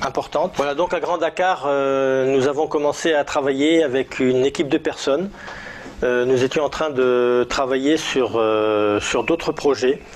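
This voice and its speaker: A man at a very slow pace, his pitch medium, with noticeable background noise. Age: 60s. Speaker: network marketing team leader. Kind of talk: testimony. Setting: indoors, filmed in a living room. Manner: hesitant, many filler sounds.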